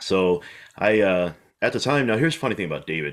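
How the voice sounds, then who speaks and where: A man speaks at a fairly quick pace. Behind him, the background stays quiet. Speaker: podcast guest, golf instructor. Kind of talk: interview answer. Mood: friendly, relaxed. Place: home room. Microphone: video call.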